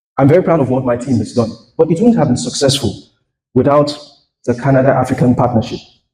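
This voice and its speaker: A man with a dark, mellow tone and a somewhat breathy, medium-pitched voice talks at a very fast pace, with ordinary pitch variation and long, frequent pauses. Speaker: tech company founder and CEO. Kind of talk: keynote speech. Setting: stage with audience.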